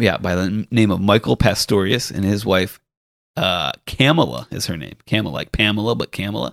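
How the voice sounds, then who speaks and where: A man's fairly low voice with vocal fry and very wide pitch swings, in an American accent at a moderate pace, the sound dry and close with no echo. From US Northeast, Rhode Island. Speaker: golf caddie. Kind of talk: casual chat.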